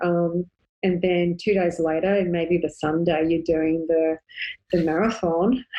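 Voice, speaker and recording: A woman speaks with an Australian accent at a fairly low pitch. Her pace is moderate and her intonation fairly even. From Australia (Sydney). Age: 40s. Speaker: ultra endurance runner and running coach. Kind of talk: casual interview chat.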